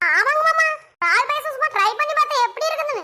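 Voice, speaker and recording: A squeaky, cartoonish character voice. It moves at a fairly quick pace. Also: woman, extremely high pitch for a woman. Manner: cheeky, rustic colloquial.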